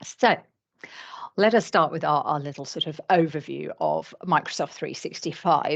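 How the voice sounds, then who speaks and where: Against a quiet background, a woman with a British accent talks in a very deep, low pitch marked by vocal fry. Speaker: licensing trainer. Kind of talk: webinar training presentation. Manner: hesitant, many fillers.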